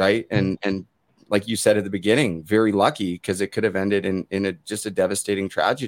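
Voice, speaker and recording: The man talks at a very fast pace with a fairly low pitch. The sound is dry and close, with no echo. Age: 30s. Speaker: podcast host, former hockey player. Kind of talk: interview conversation.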